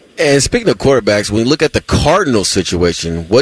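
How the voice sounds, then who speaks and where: Over noticeable background noise, a man talks at a very fast pace with very wide pitch swings, in a dry, close sound with no echo. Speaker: radio co-host analyst. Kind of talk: radio sports analysis.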